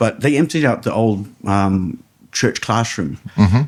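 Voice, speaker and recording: At a fairly slow pace, a man speaks with a New Zealand accent. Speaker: ring announcer. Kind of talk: podcast interview answer. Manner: casual, storytelling.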